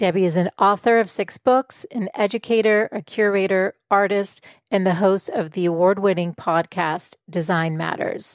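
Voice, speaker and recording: A woman with an unremarkable speaking voice talks at a moderate pace with hardly any pauses, her medium pitch varying in an ordinary way, in a dry, close sound with no echo against a quiet background. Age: 40s. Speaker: podcast host. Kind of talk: interview.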